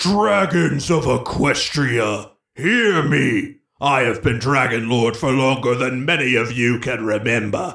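A man's raspy, put-on character voice at a medium pitch and a fairly slow pace. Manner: regal, declarative.

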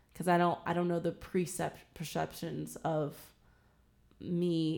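A woman talks in a normal speaking voice, fairly low in pitch, with fairly even intonation. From Virginia, Williamsburg area. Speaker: podcast guest. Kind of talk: casual discussion. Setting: in-person recording.

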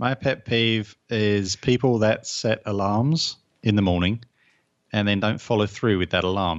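A man's fairly low voice with a southern English accent and very even loudness. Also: ordinary pitch variation, fairly slow pace. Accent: English (southern England). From England. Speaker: therapist. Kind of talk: casual interview chat.

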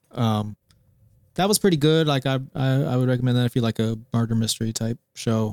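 A man talks in a plain, everyday voice at a medium pitch and a fairly quick pace, with ordinary pitch variation and very even loudness. The sound is dry and close with no echo, and the recording is very clean over a silent background. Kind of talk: casual chat. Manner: joking.

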